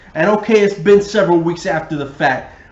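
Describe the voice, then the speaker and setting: A man speaks in a high pitch with ordinary pitch variation. Audible room echo and noticeable background noise surround him. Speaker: sports podcast co-host. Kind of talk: casual chat. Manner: mumbling.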